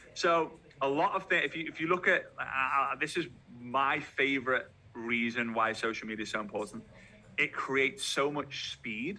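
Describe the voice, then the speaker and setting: With a Liverpool accent, the speaker has a bright, sharp tone, ordinary pitch variation and a moderate pace. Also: man, fairly high pitch for a man. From Liverpool, England. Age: 30s. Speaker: network marketing trainer. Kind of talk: motivational talk. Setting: video call. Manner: animated.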